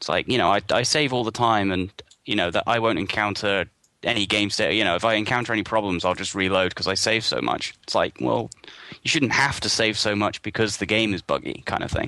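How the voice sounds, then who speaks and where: With a British accent, a man talks at a fairly quick pace, his fairly low voice bright and sharp in tone, with ordinary pitch variation. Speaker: gaming site contributor. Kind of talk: casual chat.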